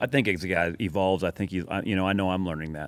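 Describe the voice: A man's low-pitched voice at a fast pace, with ordinary pitch variation, on a very clean recording with a silent background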